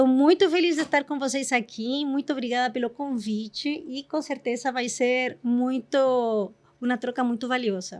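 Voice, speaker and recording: A woman's high-pitched voice at a moderate pace with ordinary pitch variation, on a very clean recording with a silent background. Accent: Chilean. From Chile. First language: Spanish (speaking Portuguese). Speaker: corporate executive. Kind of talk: casual chat.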